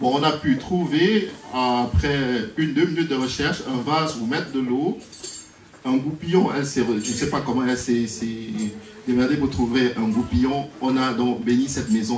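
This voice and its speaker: In a strong Cameroonian accent, a man speaks at a moderate pace. Music plays in the background, and room echo is audible. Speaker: priest. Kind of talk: wedding speech.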